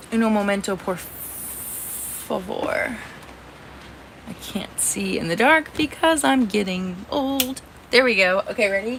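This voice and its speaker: Noticeable background noise surrounds a woman with an American accent and a fairly high pitch. She speaks very slowly, with lively intonation. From Indiana. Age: 30s. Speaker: livestreamer. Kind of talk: casual live stream chat. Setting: in a camper trailer during a thunderstorm.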